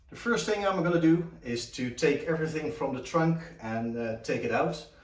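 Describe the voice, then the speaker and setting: With a Dutch accent, a man speaks at a moderate pace in a fairly high voice with lively intonation. Noticeable background noise and audible room echo surround him. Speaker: car restoration hobbyist. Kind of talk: tutorial. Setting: home garage. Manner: halting, many fillers.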